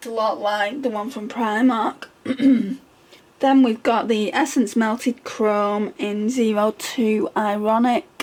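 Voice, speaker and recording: A woman with a fairly high pitch speaks at a very slow pace with hardly any pauses and fairly even intonation. Noticeable background noise is present. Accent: British. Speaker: beauty ASMR creator. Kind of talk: ASMR makeup collection talk. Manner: whispered, soft-spoken.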